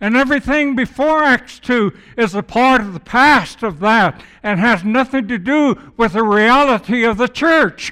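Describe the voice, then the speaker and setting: A man's raised, projected voice, extremely high in pitch, with a bright, sharp tone, ordinary pitch variation and a fairly slow pace. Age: old. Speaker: guest preacher. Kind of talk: sermon. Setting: church with congregation.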